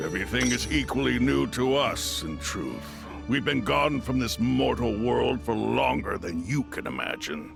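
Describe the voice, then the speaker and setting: A man's put-on character voice, very deep and low in pitch, at a moderate pace over clear music in the background. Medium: machinima.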